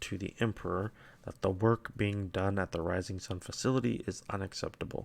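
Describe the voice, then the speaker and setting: A man with an ordinary speaking voice talks with ordinary pitch variation. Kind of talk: quiet lore reading with commentary. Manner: soft-spoken.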